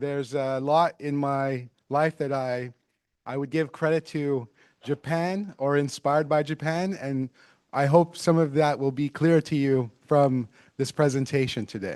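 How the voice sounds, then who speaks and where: With an ordinary speaking voice, a man talks at a fairly slow pace and fairly high pitch, his intonation fairly even, the sound dry and close with no echo over a quiet background. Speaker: tech conference keynote speaker. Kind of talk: keynote talk.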